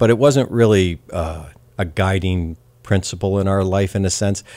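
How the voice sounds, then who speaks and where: At a moderate pace, a man with a very deep, low pitch keeps his intonation fairly even in a very clean recording with a silent background. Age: 60s. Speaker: father of five. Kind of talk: casual interview. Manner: halting, many fillers.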